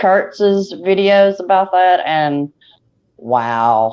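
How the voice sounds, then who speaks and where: With a Southern US accent, a woman speaks at a very slow pace with lively intonation. Her tone is dark and mellow. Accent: Southern twang. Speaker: YouTube talk show host. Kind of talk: casual chat.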